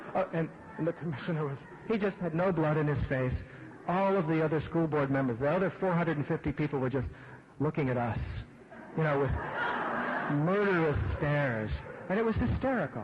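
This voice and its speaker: An American-accented man talks at a fairly quick pace with fairly high pitch and ordinary pitch variation. His loudness stays very even, long pauses come often, and background noise is noticeable. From Pittsburgh, Pennsylvania. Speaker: event host introducing speaker. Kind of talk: anecdote introduction.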